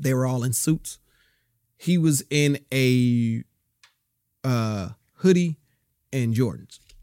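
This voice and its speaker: Speaking with an American accent at a very slow pace, a man uses a medium pitch and ordinary pitch variation, with long, frequent pauses. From Southern California. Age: 30s. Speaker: actor. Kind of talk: casual chat. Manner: halting.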